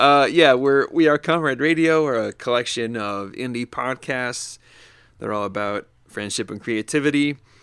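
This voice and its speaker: An ordinary speaking voice, a man with an American accent talks at a moderate pace and medium pitch with ordinary pitch variation on a very clean recording with a silent background. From upstate New York. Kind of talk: casual chat.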